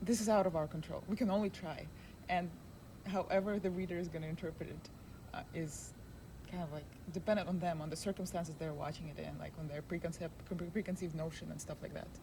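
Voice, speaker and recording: A woman with a non-native accent speaks at a very fast pace, broken by long, frequent pauses. Her fairly low voice has a dark, mellow tone and vocal fry. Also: fairly even intonation. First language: not English. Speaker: filmmaker and video creator. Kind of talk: casual interview. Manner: halting.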